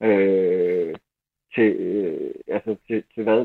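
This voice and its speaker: With an unremarkable speaking voice, a man talks at a medium pitch. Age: 50s. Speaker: newspaper columnist, football fan. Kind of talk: interview. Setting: phone call.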